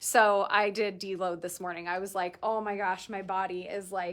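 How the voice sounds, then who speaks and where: A woman is recorded very cleanly against a silent background. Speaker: boutique owner selling clothes on livestream. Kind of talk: live shopping stream, casual chat. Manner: fast; animated.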